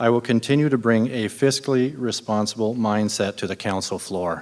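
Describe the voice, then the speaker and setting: A man with a Canadian accent and a plain, everyday voice, medium in pitch, at a moderate pace with fairly even intonation. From Ontario, Canada. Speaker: city councillor candidate. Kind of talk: prepared campaign speech.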